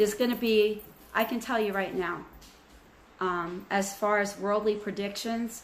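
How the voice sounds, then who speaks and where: A woman at a medium pitch speaks at a fairly slow pace. Her delivery is monotone and flat, and room echo is audible. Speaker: spiritual channel host. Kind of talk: spiritual message to viewers.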